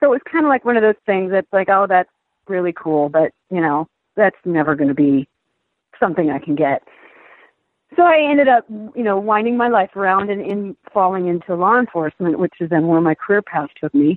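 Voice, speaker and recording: This woman has a plain, everyday voice with a medium pitch. Her intonation is lively and her pace fairly quick. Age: 50s. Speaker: aspiring jockey, retired federal agent. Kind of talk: interview.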